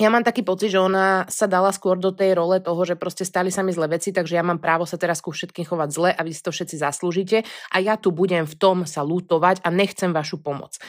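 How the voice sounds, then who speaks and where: A woman's fairly low voice at a very fast pace, fairly even in intonation with hardly any pauses, in a very clean recording with a silent background. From western Slovakia, Pezinok. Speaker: podcast co-host. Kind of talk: casual chat. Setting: recording together in person.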